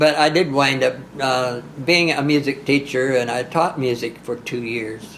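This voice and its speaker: A man speaks at a medium pitch and a fairly slow pace, with ordinary pitch variation. Noticeable background noise runs underneath. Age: 80s+. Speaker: country singer. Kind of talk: interview answer. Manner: hesitant, halting.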